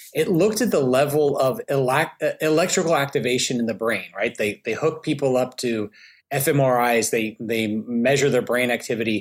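With a Southern US accent, this voice moves at a moderate pace with ordinary pitch variation and very even loudness. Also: man, medium pitch for a man. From US South, Alabama. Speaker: behavioral finance expert. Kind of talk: casual interview.

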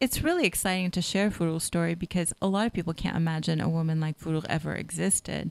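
A woman with an American accent talks at a very fast pace with hardly any pauses. Her fairly low voice keeps a fairly even intonation on a very clean recording with a silent background. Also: very even loudness, dry, close sound with no echo. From Northern California. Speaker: novelist and English professor. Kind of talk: interview.

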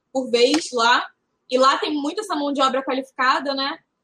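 A woman speaks at a moderate pace in a raised, projected voice, high-pitched with a bright, sharp tone and ordinary pitch variation. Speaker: retail consultant. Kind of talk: casual chat.

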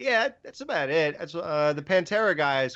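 This is a man talking. He has a normal speaking voice. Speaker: podcaster. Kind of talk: casual chat.

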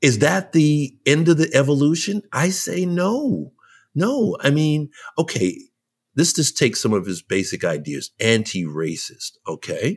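The recording is very clean, with a silent background and a dry, close sound with no echo. A man speaks at a fairly slow pace. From New York (Brooklyn). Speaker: jazz leadership consultant and cultural writer. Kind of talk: podcast interview.

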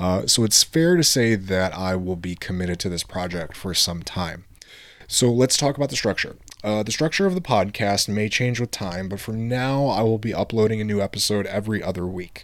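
A man's fairly low-pitched voice with an American accent, ordinary pitch variation and a fairly quick pace. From Michigan, US. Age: 20s. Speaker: podcast host. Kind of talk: scripted narration.

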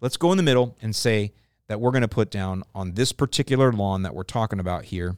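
A man with an unremarkable speaking voice and an American accent talks at a fairly quick pace with ordinary pitch variation, on a very clean recording with a silent background and a dry, close sound with no echo. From US South, St. Petersburg, Florida. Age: 50s. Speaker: lawn care podcast host. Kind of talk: casual Q&A chat.

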